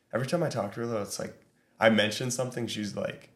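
A man's ordinary speaking voice, medium in pitch, fairly quick, with ordinary pitch variation. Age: 20s. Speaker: podcast host. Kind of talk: casual chat.

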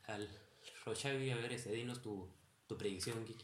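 Animated tone at a fairly slow pace. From Peru. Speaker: podcast co-host. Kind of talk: casual chat while gaming.

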